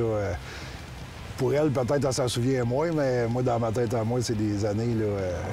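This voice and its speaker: A man's voice with ordinary pitch variation and music in the background. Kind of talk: interview answer. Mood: warm, nostalgic. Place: street.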